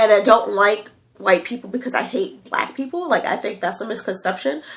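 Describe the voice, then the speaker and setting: Animated in tone, a woman with an American accent speaks fairly high and fairly quickly. Her pitch swings very widely. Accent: slight country accent at times. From New York. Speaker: vlogger. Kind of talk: casual vlog.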